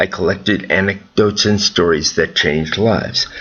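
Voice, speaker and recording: With an American accent and a fairly low pitch, a man talks at a moderate pace over noticeable background noise. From US Midwest, Chicago area. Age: 70s. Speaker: storyteller. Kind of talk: scripted narration.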